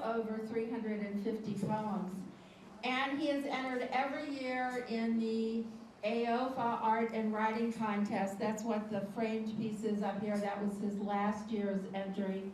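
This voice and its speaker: A woman talks at a very slow pace with flat, monotone intonation and very even loudness, with audible room echo and light background noise. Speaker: event host introducing a poet. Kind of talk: spoken introduction at a live event. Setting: room with live audience and video camera. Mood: warm, friendly. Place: hall.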